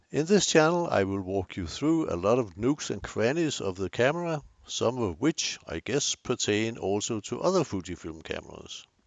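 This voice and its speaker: With a strong Danish accent, a man talks at a moderate pace and a medium pitch, his pitch swinging very widely and hardly any pauses breaking his speech. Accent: Danish, thick. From Denmark. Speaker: photography youtuber. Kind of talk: tutorial. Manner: hesitant with fillers.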